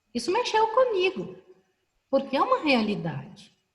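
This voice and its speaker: A woman is speaking. Her pace is fairly slow. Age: 60s. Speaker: professor and panel moderator. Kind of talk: online panel discussion. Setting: video call.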